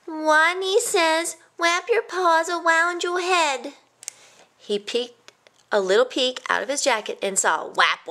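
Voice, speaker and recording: Putting on a squeaky character voice at an extremely high pitch, a woman speaks at a fairly slow pace. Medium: read story. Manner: says W for R.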